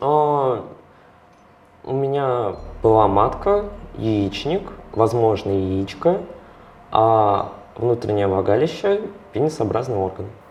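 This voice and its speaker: A man at a medium pitch speaks very slowly with long, frequent pauses, ordinary pitch variation and big swings in loudness. Audible room echo and noticeable background noise fill the recording. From Russia, Samara. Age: 20s. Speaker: interviewee in documentary. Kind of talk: interview testimony.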